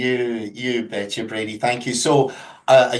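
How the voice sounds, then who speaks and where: A man with a Scottish accent at a moderate pace. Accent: Scottish, unchanged after 22 years in US. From Scotland. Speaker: company representative. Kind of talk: webinar presentation.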